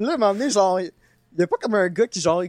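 A man's voice with a Quebec accent, ordinary pitch variation, and a dry, close sound with no echo. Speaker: podcast co-host. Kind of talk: casual chat.

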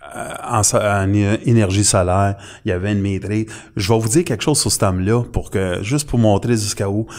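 A man talks in a plain, everyday voice, fairly low in pitch with ordinary pitch variation. The recording is very clean, with a silent background. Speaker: conspiracy commentator. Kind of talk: casual chat.

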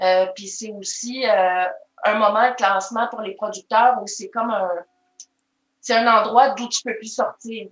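A woman with a Quebec accent, fairly high pitch and fairly even intonation, at a fairly slow pace. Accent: Québécois French. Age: 40s. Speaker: maple syrup taster. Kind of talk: casual interview.

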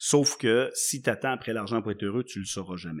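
Speaking fairly quickly with a Quebec accent, a man keeps his intonation fairly even on a very clean recording with a silent background. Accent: Québécois French. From Quebec (Laval / Montreal). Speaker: entrepreneur. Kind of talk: casual interview.

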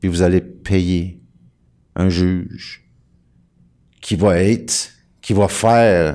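In a very clean recording with a silent background, the speaker uses a dark, mellow tone and a Quebec accent at a very slow pace. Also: man. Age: 50s. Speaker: sovereign-citizen style legal activist. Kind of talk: casual talk show explanation.

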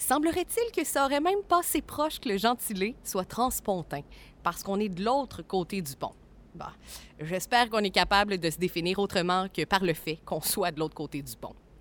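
Spoken in a Quebec accent, the voice moves through very wide pitch swings. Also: woman, medium pitch for a woman, moderate pace. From Quebec, Cap-de-la-Madeleine (Trois-Rivières). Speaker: audio tour guide. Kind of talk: scripted narration. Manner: casual.

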